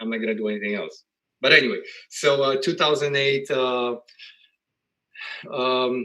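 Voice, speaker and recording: A man speaks with a Polish accent at a moderate pace. His pitch is medium, with ordinary pitch variation. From Poland. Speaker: real estate investor. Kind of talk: interview. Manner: halting.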